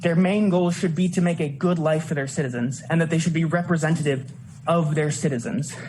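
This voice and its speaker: A man with an American accent talks at a fairly quick pace, his pitch fairly high and his loudness very even. Audible room echo and noticeable background noise are present. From Indiana, Lafayette. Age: 20s. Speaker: student giving public comment. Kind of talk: public hearing testimony. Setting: public hearing on a college campus. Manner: halting, many fillers.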